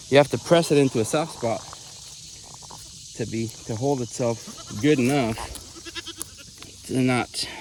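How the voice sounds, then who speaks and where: There is noticeable background noise behind this man. His pitch is medium, with ordinary variation, at a moderate pace. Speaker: homesteader. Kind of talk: casual vlog narration while working outdoors. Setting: outdoors on farm. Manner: halting.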